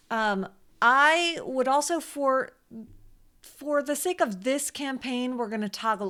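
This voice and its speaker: A woman speaks in a high, raised and projected voice with a bright, sharp tone. Her intonation is lively, her pace fairly slow, and the background quiet. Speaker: Facebook ads consultant and teacher; teacher. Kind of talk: tutorial. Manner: casual. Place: home room.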